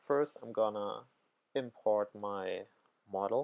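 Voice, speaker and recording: A man speaking at a very slow pace. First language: not English. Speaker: programming tutor. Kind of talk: tutorial. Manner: halting, many fillers.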